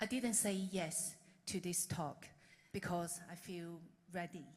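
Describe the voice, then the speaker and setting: Somewhat breathy, a woman with a fairly low pitch speaks at a fairly slow pace. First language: not English. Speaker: conference speaker. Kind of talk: lightning talk.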